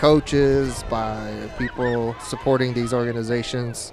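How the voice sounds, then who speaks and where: A man speaks at a medium pitch and a fairly slow pace in monotone, flat intonation. Noticeable background noise is present. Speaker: sports play-by-play commentator. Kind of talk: live commentary.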